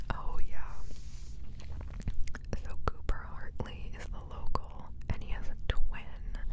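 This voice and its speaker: Whispering at a very slow pace, a woman leaves long, frequent pauses, and her loudness swings widely. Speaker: book vlogger. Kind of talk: whispered book reading wrap-up, casual talk to camera. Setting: single microphone, ASMR recording. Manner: whispered, relaxing. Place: home room. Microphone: studio mic.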